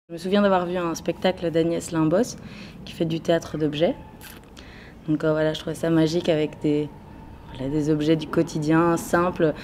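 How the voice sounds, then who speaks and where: A woman's fairly low, monotone voice with flat intonation and long, frequent pauses. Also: moderate pace. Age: 20s. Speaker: actress. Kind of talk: interview. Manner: halting, many fillers.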